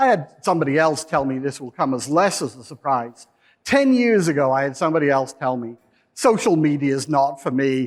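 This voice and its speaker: Here a man with a normal speaking voice talks at a fairly quick pace and a fairly high pitch, with ordinary pitch variation. The recording is very clean, the background silent. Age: 60s. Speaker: PR industry speaker. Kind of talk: conference presentation.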